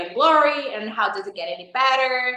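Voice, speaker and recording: A woman's tone is bright and sharp, with ordinary pitch variation. Audible room echo surrounds her voice. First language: not English. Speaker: life coaching facilitator. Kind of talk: interview.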